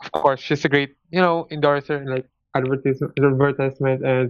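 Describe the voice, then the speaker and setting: A Filipino accent against a quiet background. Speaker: AOA fan. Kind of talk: casual chat.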